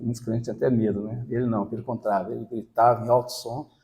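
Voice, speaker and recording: Flat and monotone, a man speaks at a medium pitch with a dark, mellow tone. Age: 60s. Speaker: lay preacher. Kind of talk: sermon with personal testimony. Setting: church gathering with congregation.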